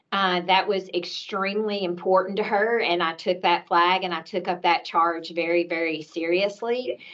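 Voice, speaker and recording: In a Tennessee accent, a woman with medium pitch talks at a moderate pace, with fairly even intonation and hardly any pauses. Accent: Southern US (Tennessee). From US South, Nashville, Tennessee. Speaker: healthcare executive. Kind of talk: panel discussion introduction. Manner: hesitant with fillers.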